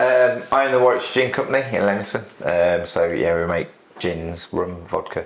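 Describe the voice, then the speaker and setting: The speaker has a West Midlands accent and lively intonation. Noticeable background noise is present. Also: man, medium pitch for a man, moderate pace. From West Midlands, England (Solihull). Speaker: gin distillery owner. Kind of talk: casual chat. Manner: hesitant, with many fillers.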